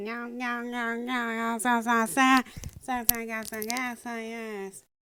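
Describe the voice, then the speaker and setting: This cartoonish character voice has a fairly high pitch, moves at a fairly slow pace, and keeps a monotone, flat intonation. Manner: stammering.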